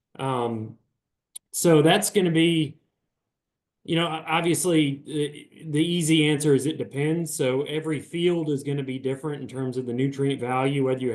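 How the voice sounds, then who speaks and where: A man with a Southern US accent, fairly high pitch, fairly even intonation and moderate pace. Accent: Southern US accent noticeable. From Virginia. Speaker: beef cattle extension specialist. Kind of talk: webinar Q&A. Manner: informal, many fillers and restarts.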